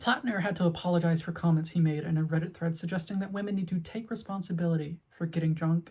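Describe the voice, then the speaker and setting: A woman's voice, fairly low-pitched, dark and mellow, somewhat breathy, at a fairly quick pace with fairly even intonation. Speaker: video essayist. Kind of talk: personal video essay. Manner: stuttering.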